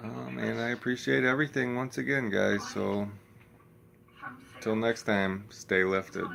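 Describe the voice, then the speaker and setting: A man's fairly low voice at a fairly slow pace, with long, frequent pauses and noticeable background noise. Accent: American. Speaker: vlogger. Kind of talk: casual vlog talk. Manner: monotone; low energy, many fillers.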